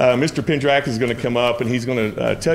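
Speaking with a Southern US accent, a man goes at a fairly quick pace with fairly even intonation. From US South. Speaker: school principal. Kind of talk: formal address to school board. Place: meeting room. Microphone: podium.

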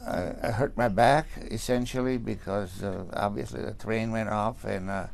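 At a fairly slow pace, a man talks with vocal fry. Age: 80s+. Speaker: accident survivor. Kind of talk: interview testimony. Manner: halting, many stammers and restarts. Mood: shaken, recounting fear.

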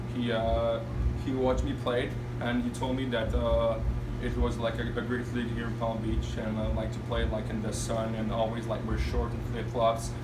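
A man with a Quebec accent at a moderate pace, under loud background noise. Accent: French-Canadian accent in English. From Montreal, Quebec. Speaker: junior hockey player. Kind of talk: interview. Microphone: camera far.

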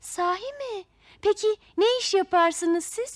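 In a put-on character voice, a woman talks at an extremely high pitch and a slow pace with lively intonation, on a very clean recording with a silent background.

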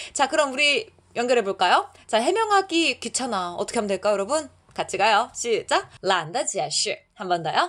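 The voice swings very widely in pitch. Its pace is moderate. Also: woman, high pitch for a woman. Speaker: Chinese language teacher. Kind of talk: language lesson tutorial. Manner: animated.

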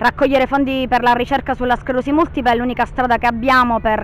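Over light background noise, a woman talks at a very fast pace in a high pitch with monotone, flat intonation, the sound dry with no echo. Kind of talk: interview answer. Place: street. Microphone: handheld.

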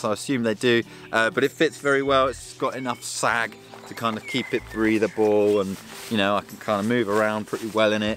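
The speech moves at a moderate pace, dry with no echo, over clear music in the background. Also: man. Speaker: outdoor gear reviewer. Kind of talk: product review talk to camera. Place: open country.

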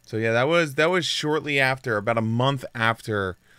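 On a very clean recording with a silent background, the voice has a bright, sharp tone that is also clear and smooth. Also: man.

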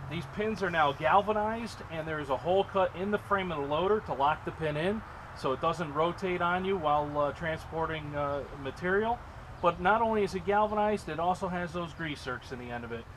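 Noticeable background noise sits behind a man with a high voice. He talks at a fairly quick pace with ordinary pitch variation. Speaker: equipment dealer sales manager. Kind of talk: product demonstration. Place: open country.

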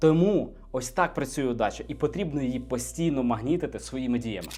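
Speaking at a moderate pace, a man uses lively intonation and an animated tone, with vocal fry in his voice. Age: 20s. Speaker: entrepreneur and business blogger. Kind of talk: motivational video monologue.

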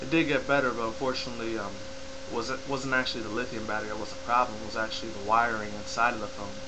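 A man rushes along at a very fast pace with ordinary pitch variation over noticeable background noise. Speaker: YouTuber. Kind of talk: casual vlog update. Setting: home webcam recording. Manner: rambling, filler-heavy. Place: home room. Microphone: webcam.

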